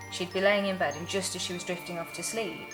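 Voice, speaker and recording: A woman at a medium pitch speaks with ordinary pitch variation while music plays in the background. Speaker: cabaret and singing performer. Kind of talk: ghost story told casually, recounting a family tale. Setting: told at a pub.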